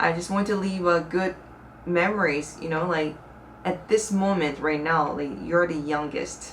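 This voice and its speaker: A woman with a Korean accent speaks with ordinary pitch variation amid audible room echo. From South Korea. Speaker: YouTuber. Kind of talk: casual vlog talk to camera. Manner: conversational, with fillers.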